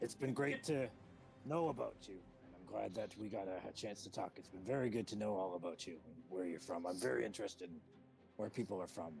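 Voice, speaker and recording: Over clear music in the background, a man puts on a raspy character voice, talking at a fairly quick pace with a fairly low pitch, lively intonation and big swings in loudness. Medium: actual play. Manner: chatty, overly apologetic.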